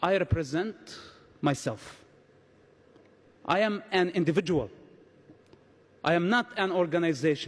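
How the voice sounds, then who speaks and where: A man with a high pitch and a non-native accent speaks at a moderate pace with very even loudness and long, frequent pauses. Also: ordinary pitch variation. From Palestinian territories. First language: not English. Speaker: conference speaker. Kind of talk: speech.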